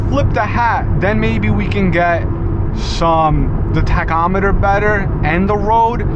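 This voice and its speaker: A man is heard in a dry sound with no echo over loud background noise. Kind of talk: casual vlog chat. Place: car. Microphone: phone near.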